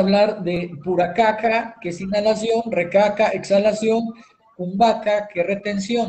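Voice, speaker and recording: A man's high voice at a fairly slow pace, with fairly even intonation. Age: 40s. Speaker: yoga teacher and show host. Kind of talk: talk show lecture. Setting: live stream.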